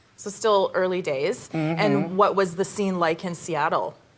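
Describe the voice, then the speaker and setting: Speech comes at a fairly slow pace with fairly even intonation. Noticeable background noise is present. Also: woman, medium pitch for a woman. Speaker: podcast host. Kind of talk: interview, host questions.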